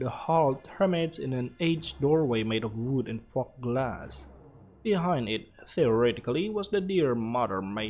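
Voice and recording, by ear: Lively intonation in a natural voice reading aloud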